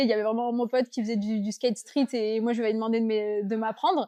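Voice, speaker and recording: A woman speaks at a fairly quick pace in a normal speaking voice, her pitch fairly high. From southern France, Avignon. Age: 20s. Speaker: surfskater. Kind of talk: casual interview.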